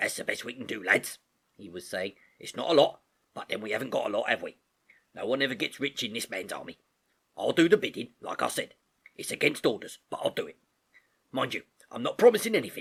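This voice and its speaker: In a raspy, growling put-on character voice, the speaker goes at a very fast pace broken by long, frequent pauses. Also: man. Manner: gruff, confiding.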